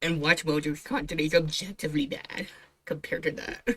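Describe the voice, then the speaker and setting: A woman speaks at a fairly low pitch. Her intonation is lively. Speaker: VTuber streamer reacting to videos. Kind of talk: casual reaction commentary. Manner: quiet, keeping voice down late at night; animated.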